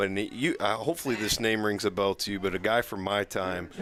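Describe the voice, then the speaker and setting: The pace is moderate, with an American accent. Noticeable background noise is present. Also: man. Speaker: color commentator. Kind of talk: live commentary. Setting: football stadium broadcast.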